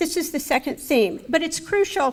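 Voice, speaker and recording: This woman has lively intonation and an American accent. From United States. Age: 60s. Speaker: speaker at a remembrance event. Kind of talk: speech.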